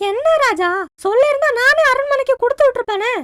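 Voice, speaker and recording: A female-sounding cartoonish character voice comes through at an extremely high pitch. It moves at a moderate pace. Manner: nagging, cautionary.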